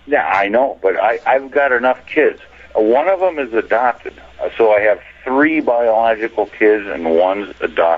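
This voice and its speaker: A man with a medium pitch talks with lively intonation against noticeable background noise. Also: moderate pace. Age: 60s. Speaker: caller. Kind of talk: phone-in call.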